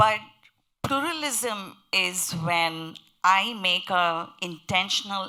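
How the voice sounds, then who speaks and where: A woman with a strong Indian accent speaks in a fairly low pitch with a bright, sharp tone. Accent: heavy Indian. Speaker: panelist on interfaith pluralism. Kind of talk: panel discussion.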